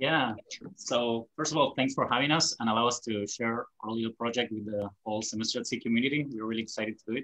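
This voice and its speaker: Speaking very fast, a man with a bright, sharp tone keeps his medium-pitched intonation fairly even. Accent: Argentine. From Argentina, Buenos Aires. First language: Spanish. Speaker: lawyer. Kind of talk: panel discussion.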